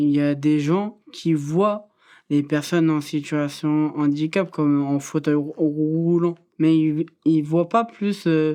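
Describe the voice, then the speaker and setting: A dark, mellow tone at a very slow pace, with fairly even intonation, very even loudness and a quiet background. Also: woman, very deep, low pitch for a woman. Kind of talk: testimony. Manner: sometimes stumbles on words.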